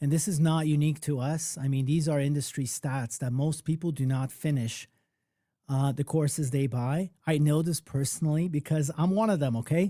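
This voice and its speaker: A man at a moderate pace, fairly high in pitch, dark and mellow in tone, somewhat breathy, with very even loudness. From Poland, then Toronto, Canada from age twelve. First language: Polish. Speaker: music producer and mentor. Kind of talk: live online workshop talk. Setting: live stream. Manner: casual, animated.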